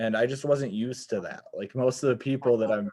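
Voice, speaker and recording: Fairly quick and fairly even in intonation, a man with a Wisconsin accent speaks in a dark, mellow tone. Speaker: podcast host. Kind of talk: casual chat. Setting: video call.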